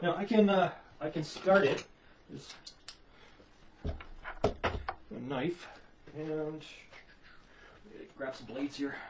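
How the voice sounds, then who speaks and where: Over noticeable background noise, a man talks at a very slow pace with long, frequent pauses and ordinary pitch variation. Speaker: musician demonstrating gear. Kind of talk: tutorial. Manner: halting.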